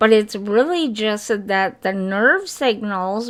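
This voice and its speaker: In a very clean recording with a silent background, a woman speaks at medium pitch with ordinary pitch variation. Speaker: sims gaming youtuber. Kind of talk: casual gameplay commentary. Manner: forced careful enunciation; unscripted, some false starts.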